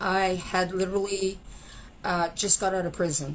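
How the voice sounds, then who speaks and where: A woman with a Canadian accent, medium in pitch, at a fairly slow pace. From Canada, Saskatchewan. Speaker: former pro wrestler and musician in recovery. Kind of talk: interview testimony. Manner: talkative.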